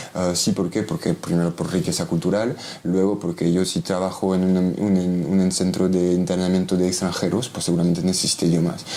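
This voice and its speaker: A man speaks at a fairly quick pace with a very deep, low pitch, hardly any pauses and very even loudness. His intonation is monotone and flat, and there is noticeable background noise. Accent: French. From Belgium. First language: French (speaking Spanish). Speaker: criminologist. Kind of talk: interview. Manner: halting, many fillers and restarts.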